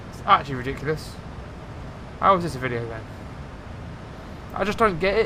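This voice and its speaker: Amid noticeable background noise and audible room echo, a man with a fairly high pitch talks very fast, with long, frequent pauses, big swings in loudness and very wide pitch swings. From England, near London. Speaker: flight sim streamer. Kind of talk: live gameplay commentary. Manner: casual, chatty.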